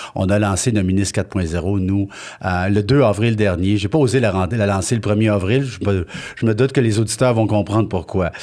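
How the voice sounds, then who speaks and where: Talking at a fairly quick pace, a man uses an unremarkable speaking voice with fairly low pitch and ordinary pitch variation. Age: 60s. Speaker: business owner. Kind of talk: interview. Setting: filmed studio interview.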